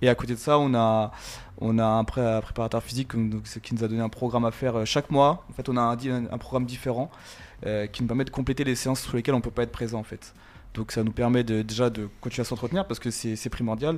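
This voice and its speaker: Against a silent background in a very clean recording, a man speaks at a very fast pace with medium pitch and fairly even intonation. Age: 30s. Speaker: footballer. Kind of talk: casual interview.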